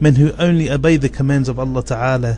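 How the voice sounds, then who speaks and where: Music plays behind a man talking at a fairly quick pace. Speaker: Islamic preacher. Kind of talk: religious sermon.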